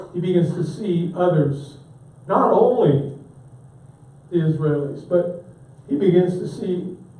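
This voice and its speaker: Audible room echo follows the fairly slow speech. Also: man. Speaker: pastor teaching a church class. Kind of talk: lecture.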